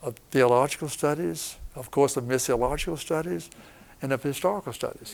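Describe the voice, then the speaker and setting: With vocal fry and lively intonation, a man talks at a fairly quick pace and a fairly high pitch. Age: 80s+. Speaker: retired professor of missions and former missionary. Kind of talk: interview.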